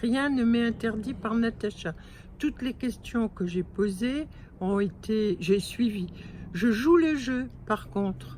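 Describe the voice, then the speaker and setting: At a very slow pace, a woman speaks with a fairly high pitch, lively intonation and a somewhat breathy quality. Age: 70s. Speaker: weight-loss client. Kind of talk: testimony. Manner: halting.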